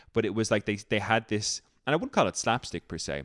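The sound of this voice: A man speaks at a fairly quick pace in a fairly low pitch, his tone fairly bright, his pitch swinging widely. The recording is very clean, with a silent background.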